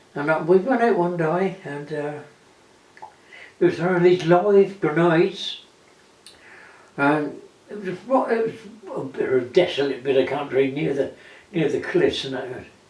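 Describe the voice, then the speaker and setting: Over noticeable background noise, a high-pitched man talks at a moderate pace with lively intonation and long, frequent pauses. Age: 80s+. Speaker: war veteran. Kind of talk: interview answer.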